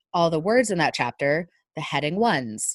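In an American accent, a woman with a very deep, low voice speaks with lively intonation, the sound dry and close with no echo and the background quiet. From US, northern Virginia. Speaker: data visualization trainer and consultant. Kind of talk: casual interview. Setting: long-distance remote call.

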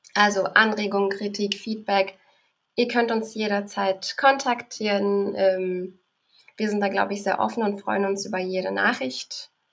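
A woman with a medium-pitched voice talks fairly slowly, her intonation mostly level, stopping often for long pauses. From Berlin, Germany. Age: 20s. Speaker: podcaster. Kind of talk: casual interview.

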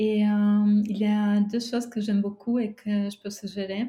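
A woman speaks very slowly in a fairly high, somewhat breathy voice with a dark, mellow tone and flat, monotone intonation, recorded very cleanly against a silent background. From Romania, near former Yugoslav border. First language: Romanian and Serbian (speaking French). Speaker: travel writer. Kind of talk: interview. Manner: halting.

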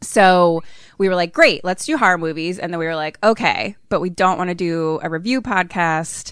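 With an American accent, a woman uses an ordinary speaking voice at a fairly low pitch and a moderate pace, with ordinary pitch variation. The recording is very clean and the background silent. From Philadelphia, US. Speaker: horror comedy podcaster with theater training. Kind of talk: casual chat.

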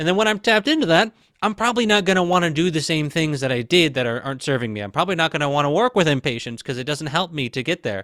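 A man with an American accent speaks at a fairly high pitch in a bright, sharp tone, his pitch swinging very widely. He talks at a very fast pace with hardly any pauses, on a very clean, dry, close recording with a silent background and no echo. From US Midwest, Michigan. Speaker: spiritual teacher and video creator. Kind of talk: casual interview chat.

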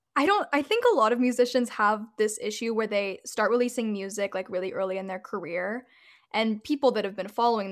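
On a very clean recording with a silent background, a woman with an American accent speaks at a fairly high pitch with ordinary pitch variation, in an ordinary speaking voice. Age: 20s. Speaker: singer-songwriter. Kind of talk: interview. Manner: casual.

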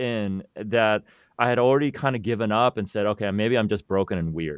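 With an American accent, a man talks at a fairly quick pace in a dry, close sound with no echo. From US West Coast, Silicon Valley. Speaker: life and money coach, podcaster. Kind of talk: interview conversation. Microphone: new studio microphone.

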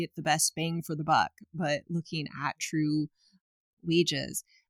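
A woman's very deep, low voice with an American accent, flat and monotone, in a dry, close sound with no echo and a very clean recording with a silent background. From Portland, Oregon, US Pacific Northwest. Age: 40s. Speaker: ritual practitioner and event producer. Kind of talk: casual interview. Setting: indoors at parents' house.

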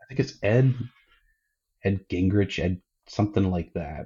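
The voice is somewhat breathy, with an American accent. It moves at a fairly slow pace. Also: man. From northwestern Pennsylvania, US. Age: 30s. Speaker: craft beer event organizer. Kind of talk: casual chat.

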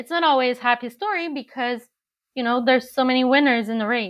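Against a quiet background, a woman with a high voice talks at a moderate pace with ordinary pitch variation. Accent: Quebec. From Montreal, Canada. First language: French. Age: 40s. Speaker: agency founder, PR, former journalist. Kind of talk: casual interview chat.

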